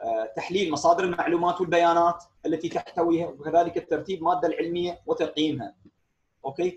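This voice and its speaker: At a very fast pace, a man speaks in a high voice with monotone, flat intonation and big swings in loudness. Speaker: engineering lecturer. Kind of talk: online lecture. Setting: video call.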